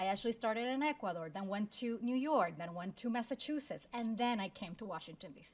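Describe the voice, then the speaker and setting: With a Spanish accent, a woman talks at a fairly quick pace, somewhat breathy, with lively intonation. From Puerto Rico. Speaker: law school dean. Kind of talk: panel discussion with career advice.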